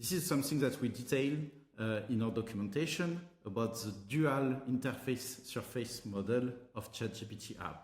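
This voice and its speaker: A somewhat breathy voice with a French accent at a moderate pace, with audible room echo. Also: man. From France, Paris. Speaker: tech company co-founder and CTO. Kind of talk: tutorial.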